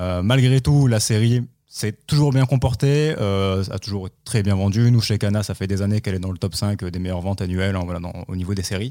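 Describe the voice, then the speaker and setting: With hardly any pauses, a man talks at a fairly quick pace in a dark, mellow, fairly low voice with ordinary pitch variation, recorded very cleanly against a silent background. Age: 20s. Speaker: publishing marketing manager. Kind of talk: podcast interview.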